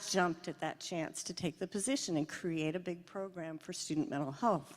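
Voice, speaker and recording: With an American accent, this woman speaks at a moderate pace. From US Pacific Northwest, Seattle. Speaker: psychiatrist. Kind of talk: award lecture. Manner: casual, conversational.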